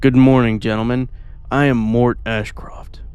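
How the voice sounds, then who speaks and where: A man puts on a character voice at a medium pitch. He talks at a moderate pace. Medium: read story. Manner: polite, formal, charming.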